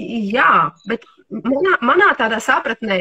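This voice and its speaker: Very wide pitch swings against a quiet background. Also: woman. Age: 50s. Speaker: homeopath and nutrition therapist; livestream host on nutrition. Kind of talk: casual interview.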